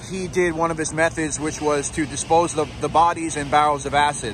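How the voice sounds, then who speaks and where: A man talks at a fairly quick pace over noticeable background noise. The sound is dry, with no echo. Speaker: true crime tour guide. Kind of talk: commentary. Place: street. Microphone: phone near.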